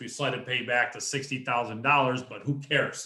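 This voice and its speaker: With an ordinary speaking voice at medium pitch, a man speaks at a moderate pace. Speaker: real estate investor. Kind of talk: presentation at investor meeting.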